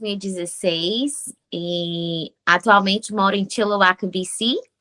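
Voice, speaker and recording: The voice has a bright, sharp tone and fairly even intonation, with hardly any pauses. The sound is dry and close with no echo. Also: woman. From Brazil, Fortaleza, Ceará. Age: 30s. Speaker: nurse and immigrant. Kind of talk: podcast interview.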